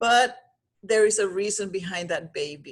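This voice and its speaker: With a Spanish accent, a woman is talking. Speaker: pregnancy coach. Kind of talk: vlog monologue. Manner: halting.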